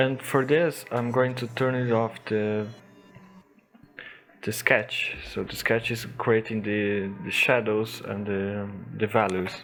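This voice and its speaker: Amid noticeable background noise, a man speaks at a very slow pace in a fairly low pitch with fairly even intonation. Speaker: digital painter. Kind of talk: tutorial voice-over.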